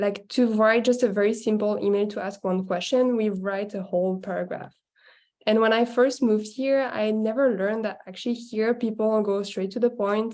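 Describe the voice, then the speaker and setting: The speaker has a French accent and fairly even intonation. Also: woman, fairly high pitch for a woman, moderate pace. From French-speaking country, not France. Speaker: workshop participant. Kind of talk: group discussion.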